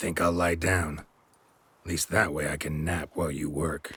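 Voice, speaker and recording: A man puts on a raspy character voice, very deep and low, with monotone, flat intonation. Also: moderate pace. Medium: video game. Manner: dry, deadpan, sardonic.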